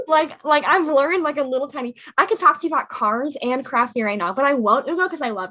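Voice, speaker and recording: A woman with a high pitch talks at a very fast pace with hardly any pauses, in a raised, projected voice. Her intonation is lively and her loudness swings a lot. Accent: American. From Indiana, US Midwest. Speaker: podcast co-host. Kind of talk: casual chat.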